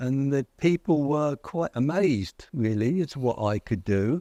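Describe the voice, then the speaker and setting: Against a quiet background, a man with a southern English accent speaks at a fairly slow pace with lively intonation, the sound dry and close with no echo. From southern England, near London. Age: 70s. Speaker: author and philosopher. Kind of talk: interview conversation. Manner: halting, many fillers.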